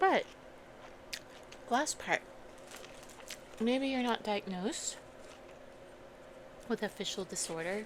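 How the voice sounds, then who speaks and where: At a very slow pace, a soft-spoken woman whispers, leaving long, frequent pauses. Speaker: ASMR creator. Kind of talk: ASMR soft-talking storytime. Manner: soft-spoken, whispery.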